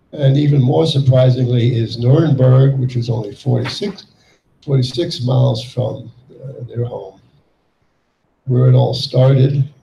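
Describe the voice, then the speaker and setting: A man speaks at a fairly slow pace, with long, frequent pauses and ordinary pitch variation. His tone is dark and mellow, and somewhat breathy. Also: medium pitch for a man. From Yugoslavia. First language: German. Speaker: Holocaust survivor. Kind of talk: testimony. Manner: halting.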